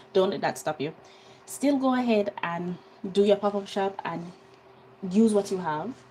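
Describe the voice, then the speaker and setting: A woman with a Jamaican accent speaks at a moderate pace and medium pitch, with ordinary pitch variation and long, frequent pauses. Her tone is dark and mellow, and somewhat breathy. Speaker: skincare business owner and online teacher. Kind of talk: live stream tutorial. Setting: live stream. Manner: casual, chatty.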